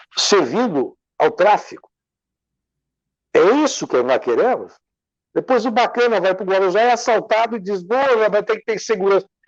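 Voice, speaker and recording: A man talks in an animated tone at a moderate pace, his high voice full of lively intonation. Long, frequent pauses break up his speech. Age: 60s. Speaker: civil engineer and lawyer, interview guest. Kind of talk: interview, discussion. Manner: animated, emphatic.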